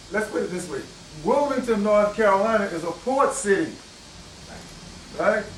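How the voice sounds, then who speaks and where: A man with an American accent, high pitch, lively intonation and moderate pace, amid audible room echo and noticeable background noise. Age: 60s. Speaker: historian lecturer. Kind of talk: lecture. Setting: bookstore with audience. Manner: conversational, asks audience questions.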